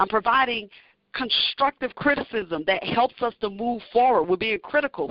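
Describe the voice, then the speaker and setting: A plain, everyday voice from a woman with an American accent, lively intonation and a moderate pace. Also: fairly high pitch for a woman. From US South, northern Louisiana. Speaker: university athletic director. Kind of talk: interview.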